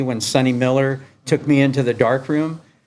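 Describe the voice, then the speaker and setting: Fairly high-pitched male speech delivered at a moderate pace. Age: 60s. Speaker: skateboard photographer. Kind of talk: public talk with Q&A. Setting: skate shop talk with audience. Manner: casual, halting with fillers.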